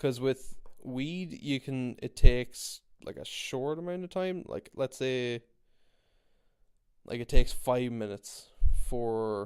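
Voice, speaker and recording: A man with an Irish accent, medium in pitch, with ordinary pitch variation. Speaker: podcast host. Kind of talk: casual monologue. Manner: rambling, repetitive.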